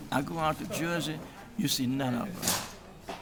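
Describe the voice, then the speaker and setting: Audible room echo plus noticeable background noise. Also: man. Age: 80s+. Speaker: prostate cancer patient. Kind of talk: interview. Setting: symposium event, on camera. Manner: halting.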